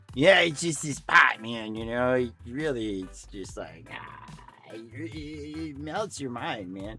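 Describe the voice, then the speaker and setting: Over clear background music, a man performs a put-on character voice at a medium pitch and a fairly slow pace, with very wide pitch swings and big shifts in loudness. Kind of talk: slangy, laid-back. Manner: slow, drawn-out, hesitant.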